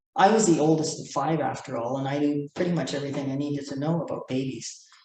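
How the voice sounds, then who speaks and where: A woman's very deep, low voice at a very fast pace, with fairly even intonation and audible room echo. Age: 70s. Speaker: poet. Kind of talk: poetry reading.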